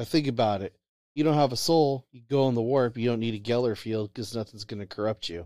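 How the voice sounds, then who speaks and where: At a very fast pace, a man with a dark, mellow tone and medium pitch speaks with ordinary pitch variation and big swings in loudness, the sound dry and close with no echo. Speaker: co-host. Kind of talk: casual banter. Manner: animated, rant-like.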